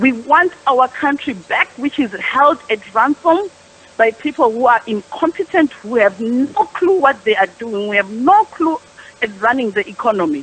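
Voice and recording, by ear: A woman talks at a moderate pace with few pauses and lively intonation. Her fairly high voice carries a slightly husky edge.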